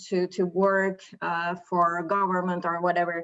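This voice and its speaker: A woman with a Turkish accent speaks at a medium pitch. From Turkey. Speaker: webinar participant. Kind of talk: casual discussion. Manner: halting.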